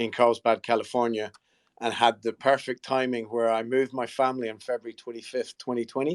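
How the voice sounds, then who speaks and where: A man with a Scottish accent speaks at a medium pitch in a monotone, flat delivery, recorded dry and close with no echo. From Scotland, near St Andrews. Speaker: golf company marketing executive. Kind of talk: panel discussion in a live audio space. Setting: online audio room.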